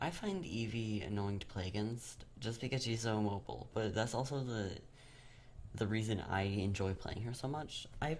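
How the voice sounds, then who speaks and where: A man at a medium pitch and moderate pace, with ordinary pitch variation and audible room echo. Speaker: gaming YouTuber. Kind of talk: gameplay commentary voiceover. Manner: casual, hesitant with fillers; loud and squealy when playing.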